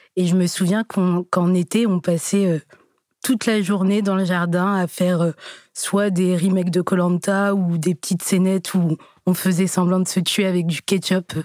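A woman at medium pitch, fairly slow and monotone with flat intonation, very even in loudness, in a very clean recording with a silent background and a dry, close sound with no echo. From Burgundy, France (Joigny). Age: 20s. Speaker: dating show participant. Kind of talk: interview. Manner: hesitant.

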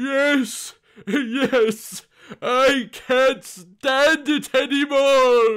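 A man does a put-on character voice at an extremely high pitch and a very slow pace. His tone is clear, smooth and fairly bright, with fairly even intonation.

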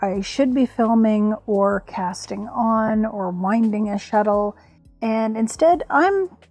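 Faint music sits behind a woman whose voice sounds dry, with no echo. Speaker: crafting vlogger. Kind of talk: casual vlog chat. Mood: humorous, self-deprecating. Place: home room.

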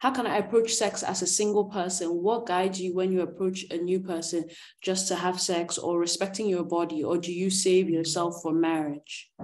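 The speaker keeps a moderate pace with fairly even intonation. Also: woman. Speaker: moderator. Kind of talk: moderating Q&A. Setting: video call. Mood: calm, thoughtful. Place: home room. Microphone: video call.

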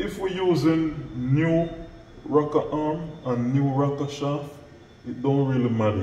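Audible room echo and light background noise around a male voice. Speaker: mechanic instructor. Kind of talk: tutorial. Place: workshop. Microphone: camera far.

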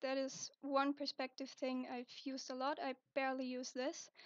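A woman speaks at a high pitch with a non-native accent. The sound is dry and close, with no echo. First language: not English. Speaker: digital art tutorial maker. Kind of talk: software tutorial narration. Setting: low-quality home microphone. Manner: casual, hesitant.

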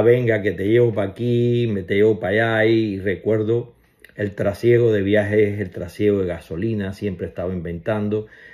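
A man's fairly low voice with fairly even intonation over a quiet background. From Cuba. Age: 60s. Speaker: family member giving tribute. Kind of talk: personal video message. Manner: casual, hesitant with fillers. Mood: warm, fond, reminiscing. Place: home room.

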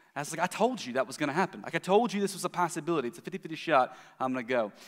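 With the background quiet, a man rattles off his words at a very fast pace. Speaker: preacher. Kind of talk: sermon. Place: church.

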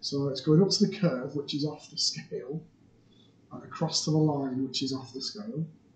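A soft-spoken, somewhat breathy man at a fairly high pitch, with moderate pace, ordinary pitch variation and big swings in loudness. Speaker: maths teacher. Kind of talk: tutorial.

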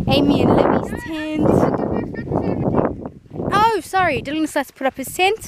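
Fairly slow speech with a dry sound, no echo, and loud background noise. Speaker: family vlogger. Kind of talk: casual vlog chat. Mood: cheerful, joking. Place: open country. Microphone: phone near.

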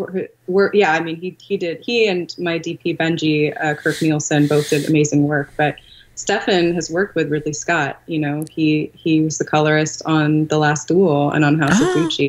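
With an American accent, a woman speaks at a moderate pace with hardly any pauses, fairly even intonation and a very deep, low pitch. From California. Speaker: film director; guest. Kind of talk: casual interview. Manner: laughs often. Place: home room. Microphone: video call.

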